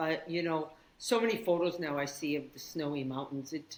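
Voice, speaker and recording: In a Canadian accent, a woman with a very deep, low voice speaks at a moderate pace. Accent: Canadian, kept after 36 years in Australia. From Canada, northern Saskatchewan. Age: 60s. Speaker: yoga teacher. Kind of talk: casual chat.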